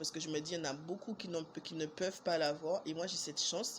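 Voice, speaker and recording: A woman is speaking. Her pitch is fairly low. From Martinique. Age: 20s. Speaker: vlogger. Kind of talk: storytelling vlog. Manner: casual, hesitant with fillers.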